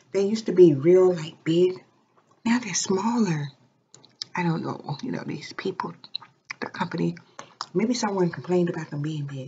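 Soft-spoken and fairly low in pitch, a woman talks at a moderate pace with ordinary pitch variation, big swings in loudness, long, frequent pauses and light background noise. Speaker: ASMR vlogger. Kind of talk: casual talk to camera. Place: home room. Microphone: webcam.

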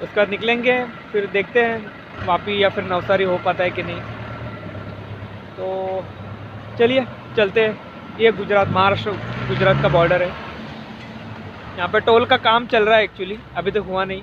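A high-pitched man speaks at a fairly slow pace with fairly even intonation and long, frequent pauses. The sound is dry with no echo, but background noise is noticeable. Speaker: motorbike travel vlogger. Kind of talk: casual vlog chat. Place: street. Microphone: phone near.

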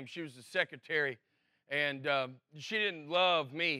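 Speaking at a fairly slow pace, a man with a Southern US accent has a bright, sharp tone. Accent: Southern American. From Alabama. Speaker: stand-up comedian. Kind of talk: casual storytelling to camera.

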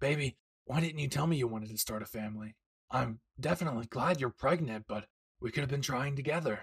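In a raspy put-on character voice, a man races along at a very fast pace with medium pitch. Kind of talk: audio roleplay to the listener. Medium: solo performance. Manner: gruff, crude, teasing.

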